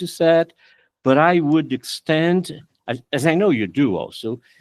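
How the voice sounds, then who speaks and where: A man's fairly high voice comes through with a dry, close sound with no echo on a very clean recording against a silent background. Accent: Portuguese. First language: Portuguese. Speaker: law professor. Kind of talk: academic discussion after a lecture. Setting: auditorium. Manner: halting.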